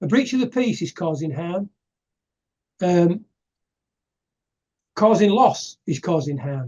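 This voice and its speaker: A man talks at a moderate pace in a high voice, his pitch swinging very widely. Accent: English. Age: 60s. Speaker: activist giving presentations. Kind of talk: casual interview chat. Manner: halting.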